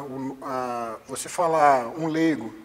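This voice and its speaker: This man has an unremarkable speaking voice, pitched fairly high for a man. His pitch varies in an ordinary way. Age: 30s. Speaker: jiu-jitsu instructor and personal trainer. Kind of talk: interview.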